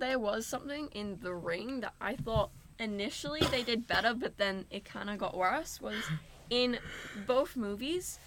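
With lively intonation and a fairly high pitch, a woman speaks at a moderate pace in an unremarkable speaking voice. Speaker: film student, podcast host. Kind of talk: casual chat.

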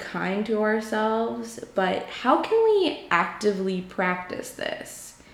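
Against noticeable background noise and audible room echo, a woman with an American accent speaks at a fairly high pitch. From New York. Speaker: podcast host, psychology graduate. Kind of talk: solo casual monologue. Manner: frequent filler ums, conversational.

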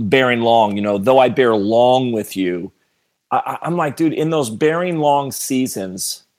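Recorded very cleanly with a silent background, a man uses a normal speaking voice at medium pitch, speaking at a moderate pace with ordinary pitch variation. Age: 40s. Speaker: pastor. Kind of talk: casual chat.

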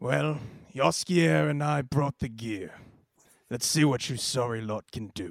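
Putting on a gruff character voice, a man speaks at medium pitch and a fairly slow pace. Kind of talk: deadpan comic drama. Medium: audio drama. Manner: gruff, curt, terse.

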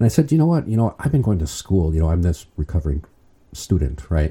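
A man with an American accent, very deep and low in pitch, dark, mellow and somewhat breathy, on a very clean recording with a silent background. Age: 50s. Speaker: permanent deacon. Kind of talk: interview.

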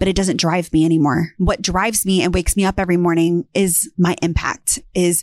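A woman with an ordinary speaking voice and a medium pitch talks at a moderate pace with fairly even intonation, in a dry, close sound with no echo. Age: 30s. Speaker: real estate entrepreneur and YouTuber. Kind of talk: personal story monologue. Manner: candid, conversational.

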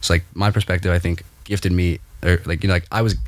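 A man with an American accent and a very deep, low pitch, ordinary pitch variation, on a very clean recording with a silent background. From Delaware, US East Coast. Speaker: student event organizer. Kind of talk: casual interview chat.

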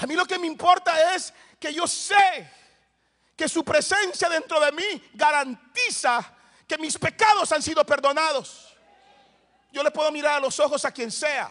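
An animated, raised and projected voice with a bright, sharp tone, fairly slow with long, frequent pauses and ordinary pitch variation. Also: man, extremely high pitch for a man. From El Salvador, Soyapango. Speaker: pastor. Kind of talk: sermon.

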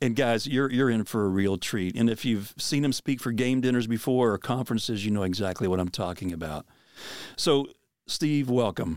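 A man with an American accent talks at a moderate pace in medium pitch, with ordinary pitch variation and a normal speaking voice, on a very clean recording with a silent background. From Pennsylvania. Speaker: podcast host and outdoor minister. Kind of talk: casual chat.

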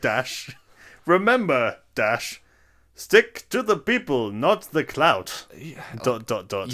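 In a robotic, put-on character voice, a man speaks very slowly at a fairly high pitch, with very wide pitch swings and big swings in loudness. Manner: robotic, reading out punctuation word by word.

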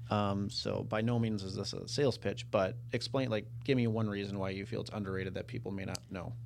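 A man talks at a fairly quick pace, with hardly any pauses, in an unremarkable speaking voice. His pitch is fairly low and his intonation fairly even. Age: 30s. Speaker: podcast host, real estate team leader. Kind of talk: casual interview chat.

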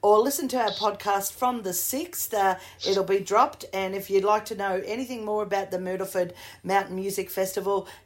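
A woman speaks with an Australian accent. Her intonation stays fairly even. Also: medium pitch for a woman, fairly quick pace. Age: 50s. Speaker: podcast host and singer. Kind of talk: interview.

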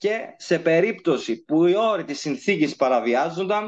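Over a quiet background, a man with a high-pitched voice speaks at a fairly slow pace with lively intonation. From Cyprus. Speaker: legal researcher. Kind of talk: lecture.

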